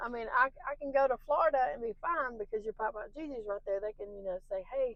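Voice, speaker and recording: A woman speaks very fast in a high voice with lively intonation. Her loudness swings widely over noticeable background noise. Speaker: podcast co-host, mother. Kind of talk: casual chat. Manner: animated.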